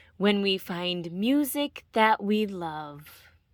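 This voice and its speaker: A woman's put-on character voice at a medium pitch and a very slow pace, on a very clean recording with a silent background. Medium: read story. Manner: gentle.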